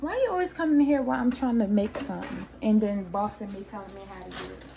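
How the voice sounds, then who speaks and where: A woman talks fairly quickly with very wide pitch swings, noticeable background noise behind her. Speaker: YouTuber sharing faith testimony. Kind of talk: casual vlog testimony. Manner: loud.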